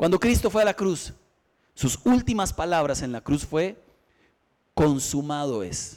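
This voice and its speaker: Over a very clean recording with a silent background, a man speaks at a fairly slow pace with long, frequent pauses. His fairly high voice moves through very wide pitch swings. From Costa Rica. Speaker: pastor. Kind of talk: sermon.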